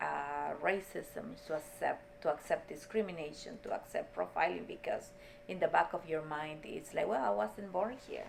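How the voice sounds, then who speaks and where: Over noticeable background noise, a woman with a Spanish accent speaks at a moderate pace. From Peru. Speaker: state legislator. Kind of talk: interview. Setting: office.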